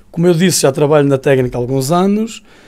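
Against a quiet background, a man talks at a fairly high pitch with a dark, mellow tone. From northern Portugal, Paredes area. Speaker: university engineering researcher and lecturer. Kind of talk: radio interview. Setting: radio studio. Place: studio. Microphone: studio mic.

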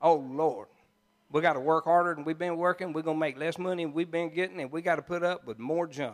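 Against a quiet background, a man with a fairly high voice talks very fast in an animated, warm tone. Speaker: pastor. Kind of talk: sermon. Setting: church. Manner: animated, warm and jokey, laughing as he preaches; folksy, conversational, with country turns of phrase. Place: church. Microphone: handheld.

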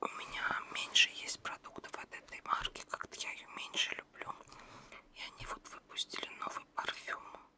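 Soft-spoken whispering at a moderate pace. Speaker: ASMR creator. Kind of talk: soft-spoken ASMR magazine show-and-tell. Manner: soft Russian ASMR whisper.

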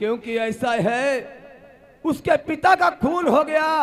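A man's put-on character voice, extremely high in pitch, with lively intonation and a fairly slow pace. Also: fairly bright tone.

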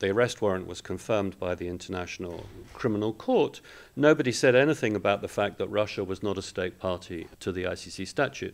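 Using lively intonation, a man with a British accent talks at a fairly quick pace in a fairly low pitch. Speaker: international law professor. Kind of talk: panel discussion. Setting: event hall with live audience.

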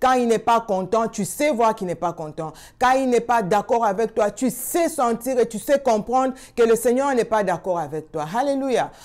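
This woman's voice is fairly high, with lively intonation. She talks at a moderate pace against a quiet background. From Congo. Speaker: prayer channel host. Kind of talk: sermon. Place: home room. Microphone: lapel.

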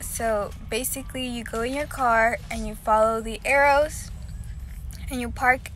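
Light background noise sits behind a woman speaking at a fairly slow pace, the sound dry with no echo. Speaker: vlogger. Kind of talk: casual vlog chat. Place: car. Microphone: phone near.

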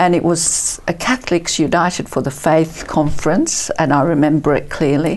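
A woman with an Australian accent speaks at a moderate pace in a very deep, low pitch, with ordinary pitch variation, very even loudness and hardly any pauses. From Italy, raised in Perth, Australia from age 10; Italy. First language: Italian. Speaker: author and counsellor; interview guest. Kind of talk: testimony. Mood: warm, reflective storytelling. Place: studio. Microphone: lapel.

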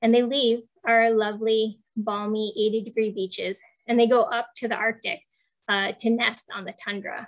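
At a moderate pace, a woman with a fairly high pitch speaks in fairly even intonation over a quiet background. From Western New York; New York State. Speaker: shorebird biologist; presenter. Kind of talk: online presentation. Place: home room. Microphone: earbuds.

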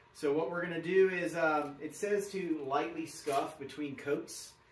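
His pitch shows ordinary variation as the man talks. The room adds audible echo. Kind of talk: casual tutorial vlog. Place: garage. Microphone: camera far.

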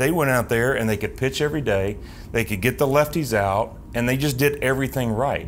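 This man speaks in a Southern US accent at a moderate pace. His pitch varies in an ordinary way, with light background noise behind him. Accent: Southern American. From US South, Tennessee (Knoxville); Tennessee. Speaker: team alumni host, former pitcher; team alumni host. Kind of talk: interview. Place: studio.

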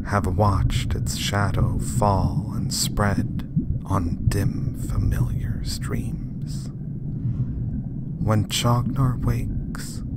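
Whispering at a very slow pace with hardly any pauses, amid noticeable background noise. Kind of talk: poetry reading.

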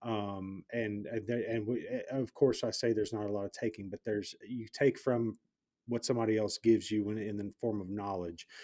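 A man talks at a fairly low pitch and a moderate pace in a dark, mellow tone with monotone, flat intonation. The recording is very clean with a silent background. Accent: Southern US. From US South. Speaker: podcast host, real estate investor. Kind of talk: podcast interview.

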